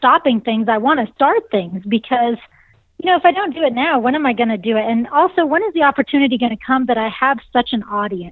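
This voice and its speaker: A woman speaks at a high pitch. Her voice is nasal. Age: 40s. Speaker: vocalist and saxophonist in a band. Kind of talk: casual interview chat.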